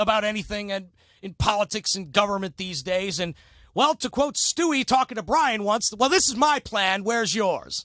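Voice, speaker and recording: A loud, high-pitched man with an American accent, lively intonation and a moderate pace, in a very clean recording with a silent background and a dry, close sound with no echo. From northeast Ohio, Cleveland area. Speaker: sports radio host and city council candidate. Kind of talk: casual interview chat.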